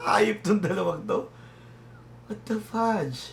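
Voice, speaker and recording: A man talks fairly slowly, his pitch swinging very widely. Noticeable noise runs in the background. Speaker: music reaction youtuber. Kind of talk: reaction commentary. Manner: halting, many fillers.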